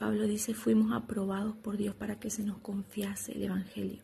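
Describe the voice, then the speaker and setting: The voice has a dark, mellow tone with vocal fry. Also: woman. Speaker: preacher. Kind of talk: devotional teaching. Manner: slow; soft-spoken.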